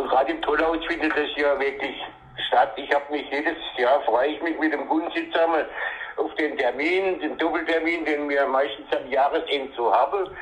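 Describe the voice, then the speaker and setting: Against noticeable background noise, a man with fairly high pitch speaks with fairly even intonation. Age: 70s. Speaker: dialect poet. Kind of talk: phone interview. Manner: halting.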